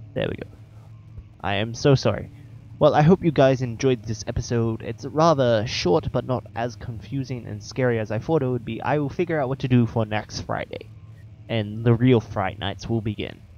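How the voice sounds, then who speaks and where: A man of medium pitch talks in an ordinary speaking voice. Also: ordinary pitch variation, moderate pace. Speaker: gaming YouTuber. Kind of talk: gameplay commentary. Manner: casual, joking, frustrated.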